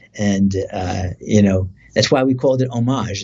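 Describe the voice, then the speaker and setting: This speaker has an American accent, a somewhat breathy voice and fairly even intonation. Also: man. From New Jersey. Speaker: singer and guitarist. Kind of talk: interview. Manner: many fillers.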